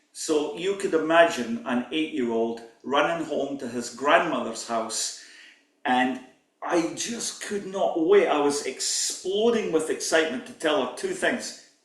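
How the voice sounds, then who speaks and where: Audible room echo surrounds a man with a fairly high pitch and lively intonation. He speaks at a fairly slow pace with big swings in loudness. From Scotland. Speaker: pipe band drumming teacher. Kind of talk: workshop lecture.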